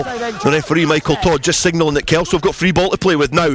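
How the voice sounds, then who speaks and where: With music in the background, a man talks at a fairly quick pace in a fairly high pitch. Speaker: rugby radio commentator. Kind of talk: live sports commentary.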